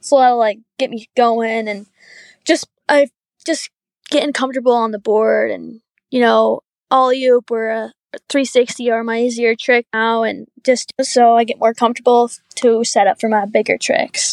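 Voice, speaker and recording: An ordinary speaking voice moves at a moderate pace with fairly even intonation, in a dry, close sound with no echo. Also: woman, fairly high pitch for a woman. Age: 20s. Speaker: professional wake surfer. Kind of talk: casual chat.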